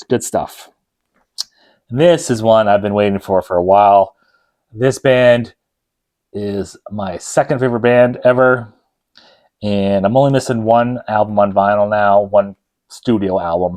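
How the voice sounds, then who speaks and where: Speaking fairly slowly with long, frequent pauses, a man uses a fairly low pitch and ordinary pitch variation. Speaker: vinyl record collector video host. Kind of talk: casual product review. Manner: loud; casual, filler-heavy.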